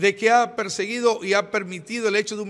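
Fairly quick delivery with fairly even intonation. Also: man. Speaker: pastor giving press statement. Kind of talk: press statement. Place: hall.

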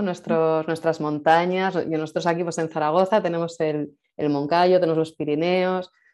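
A woman speaks at a moderate pace with a fairly low pitch and a dark, mellow tone in a quiet background. Her intonation is monotone and flat. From Spain. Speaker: event host. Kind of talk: casual interview. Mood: warm, moved, smiling. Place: home room. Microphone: video call.

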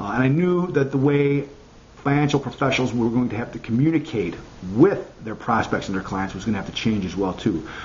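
A man with a medium-pitched, somewhat breathy voice, lively intonation and an American accent at a fairly quick pace, over light background noise. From US Midwest, Chicago. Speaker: marketing consultant. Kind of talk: tutorial. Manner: halting, many fillers. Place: home room. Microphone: webcam.

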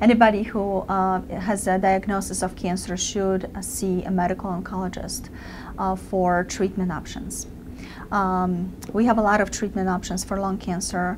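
Amid noticeable background noise, a woman talks at a moderate pace in a monotone, flat intonation. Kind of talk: interview answer. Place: office.

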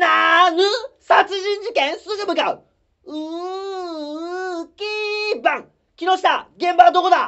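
Putting on a character voice, a man talks at a fairly slow pace in an extremely high pitch, with long, frequent pauses. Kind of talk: comedy sketch performance. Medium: stage. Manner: loud, exasperated.

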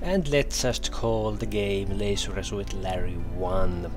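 Music plays in the background as a man speaks in a Finnish accent. He talks at a very slow pace with hardly any pauses. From Finland. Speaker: retro gaming YouTuber. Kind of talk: casual gameplay commentary.

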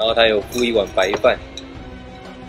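Someone talks at a moderate pace over clear music in the background. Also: man. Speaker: travel vlogger. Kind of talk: casual vlog chat. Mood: cheerful. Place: cafe.

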